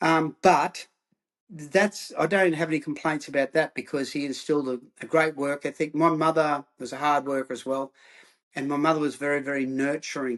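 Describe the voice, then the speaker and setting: Against a quiet background, the speaker talks with fairly even intonation in an Australian accent. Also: man, fairly high pitch for a man, moderate pace. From Australia, Queensland (Rockhampton). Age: 60s. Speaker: former rugby player turned counsellor. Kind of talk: interview.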